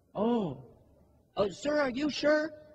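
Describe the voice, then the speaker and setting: In a put-on character voice, a man speaks at an extremely high pitch with lively intonation. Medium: stage play. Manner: overly polite, falsely humble.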